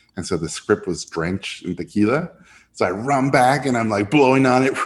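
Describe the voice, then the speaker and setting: With a Spanish accent, a man speaks at a moderate pace in a medium pitch, his intonation lively. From Mexico City and Tijuana, Mexico. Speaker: animation director. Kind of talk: interview. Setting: live online audience.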